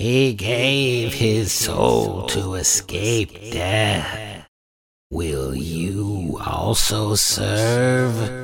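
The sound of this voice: A man's put-on character voice, raspy and fairly low, with lively intonation at a very slow pace.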